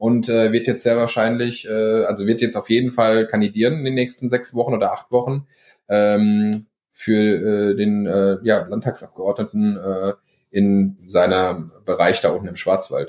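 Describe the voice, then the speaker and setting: Over a quiet background, a man with a medium-pitched voice speaks at a fairly slow pace and a fairly even intonation. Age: 20s. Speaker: marketer. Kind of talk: casual chat.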